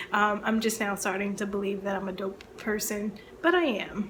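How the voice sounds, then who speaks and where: A woman with an American accent, medium-pitched, an unremarkable speaking voice at a moderate pace. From Baltimore, Maryland, US. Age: 30s. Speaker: librarian and book video creator. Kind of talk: casual chat to camera (tag video).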